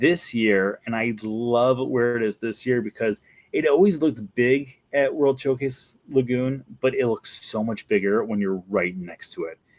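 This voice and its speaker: Recorded dry and close with no echo, a man with a Wisconsin accent speaks at a medium pitch with lively intonation. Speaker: Disney vlogger. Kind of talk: casual video commentary.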